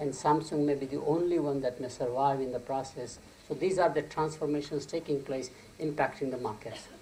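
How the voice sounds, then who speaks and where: A man speaks at a fairly quick clip in a fairly high voice, his intonation fairly even, with audible echo in the room. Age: 70s. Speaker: marketing professor. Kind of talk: conference keynote lecture.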